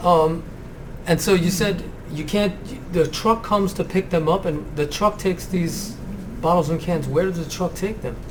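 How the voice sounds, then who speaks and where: Noticeable background noise sits under a man's high-pitched voice. He talks at a moderate pace with fairly even intonation and long, frequent pauses. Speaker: school librarian, podcast host. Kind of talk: interview questions.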